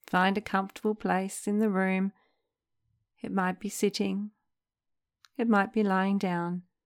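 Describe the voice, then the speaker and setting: A woman of medium pitch speaks in a calm, gentle tone at a fairly slow pace, with monotone, flat intonation and long, frequent pauses. The sound is dry and close with no echo, on a very clean recording with a silent background. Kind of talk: guided meditation. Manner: slow, calm, gentle with long pauses; soothing, soft-spoken.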